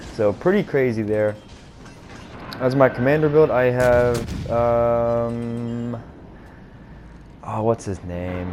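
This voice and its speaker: Through audible room echo and noticeable background noise, a man with an American accent speaks at fairly low pitch with fairly even intonation. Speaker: gaming YouTuber. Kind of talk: gameplay commentary. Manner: casual, hesitant with fillers.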